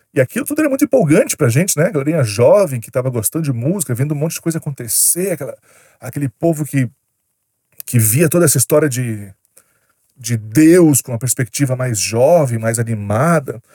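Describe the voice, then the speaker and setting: The delivery is fairly quick with lively intonation and a dark, mellow tone. The sound is dry and close with no echo, and somewhat breathy. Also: man, fairly high pitch for a man. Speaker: YouTuber. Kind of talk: storytelling monologue. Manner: casual, slangy.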